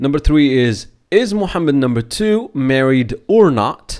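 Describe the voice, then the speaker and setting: A man at a fairly high pitch with a dark, mellow tone, very wide pitch swings and a fairly slow pace, on a very clean recording with a silent background. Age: 20s. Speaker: Darija teacher. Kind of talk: lesson intro to learners.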